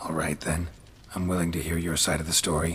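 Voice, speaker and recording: Over light background noise, a man puts on a raspy character voice with a very deep, low pitch, talking at a fairly quick pace. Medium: video game. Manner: laconic, deadpan.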